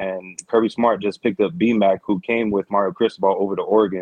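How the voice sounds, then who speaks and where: A man speaks with a normal speaking voice. His pitch sits fairly low. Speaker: caller. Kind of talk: casual sports talk call-in. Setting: phone call.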